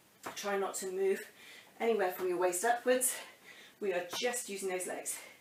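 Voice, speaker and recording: A woman speaks at a moderate pace and a medium pitch. Room echo is audible. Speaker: fitness instructor. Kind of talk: workout instruction. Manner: energetic, counting rhythmically.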